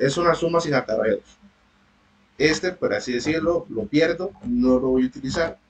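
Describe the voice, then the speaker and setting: Here a man speaks at a moderate pace. His pitch is fairly high. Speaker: university tutor. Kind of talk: online lecture.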